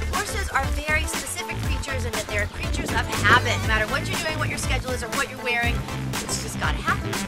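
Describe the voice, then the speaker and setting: A woman talks at a very fast pace. Loud music plays in the background. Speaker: pet lifestyle coach and TV host. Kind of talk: pet training and care advice to camera. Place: garden.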